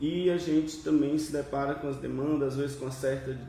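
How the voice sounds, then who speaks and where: A man talks at medium pitch. The room echoes audibly, and background noise is noticeable. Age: young. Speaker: union youth secretary. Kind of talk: panel debate. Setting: studio panel with microphones.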